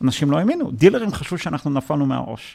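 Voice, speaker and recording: A man talks at a fairly quick pace. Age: 40s. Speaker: tech entrepreneur and investor. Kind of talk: interview. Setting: office. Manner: halting, many repetitions.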